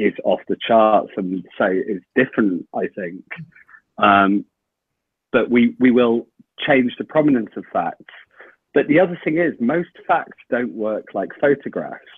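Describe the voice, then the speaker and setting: A man with a British accent speaks at a fairly slow pace, his pitch medium and his intonation lively. He leaves long, frequent pauses. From UK. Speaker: journalist and author. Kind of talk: podcast interview.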